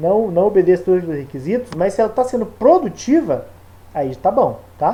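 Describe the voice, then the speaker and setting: The man's tone is dark and mellow. He speaks at a moderate pace with lively intonation. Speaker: teacher. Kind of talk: lecture. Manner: casual.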